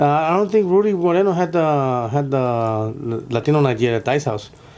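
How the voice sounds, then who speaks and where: With noticeable background noise behind him, a man with an American accent and fairly high pitch uses lively intonation at very even loudness. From US West Coast, Los Angeles. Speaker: comedian. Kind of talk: casual interview chat. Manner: fast.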